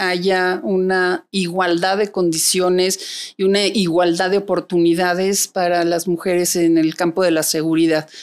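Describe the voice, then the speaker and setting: A woman with a central Mexican accent, very slow in pace, against a quiet background. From Mexico City. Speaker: private security executive; interview guest. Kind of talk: interview. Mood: calm, reflective. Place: studio. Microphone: studio mic.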